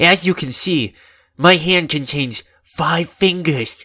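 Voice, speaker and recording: On a very clean recording with a silent background, a man puts on a character voice with a high pitch, a nervous tone and a fairly slow pace. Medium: read story. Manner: earnest, nervous, overly emotional.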